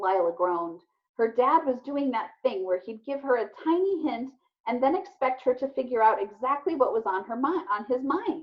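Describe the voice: A woman talks at a moderate pace with fairly high pitch and lively intonation.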